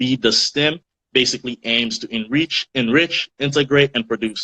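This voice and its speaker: With a slight African accent, a man talks at a moderate pace in a bright, sharp tone, his pitch varying normally in a dry, close recording with no echo. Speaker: student radio host. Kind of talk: casual chat. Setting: Instagram live stream.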